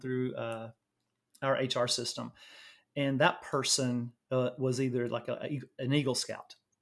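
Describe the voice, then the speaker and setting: A man speaks at a medium pitch in a Southern US accent. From Louisiana, US South. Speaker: nurse and medtech executive. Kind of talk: interview.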